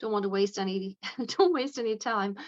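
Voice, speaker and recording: A woman speaks with a western Irish accent. Her voice is medium in pitch. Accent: Irish, west of Ireland. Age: 60s. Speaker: aesthetics nurse. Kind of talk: interview.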